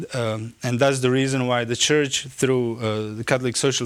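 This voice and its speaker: A man at a moderate pace, medium in pitch, with a Croatian accent and fairly even intonation. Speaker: theologian. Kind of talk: lecture. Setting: conference. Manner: halting.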